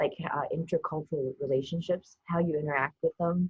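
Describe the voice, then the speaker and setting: A woman with a fairly low pitch speaks at a fairly quick pace, sounding somewhat breathy. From Taiwan. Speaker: TV producer. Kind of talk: interview answer.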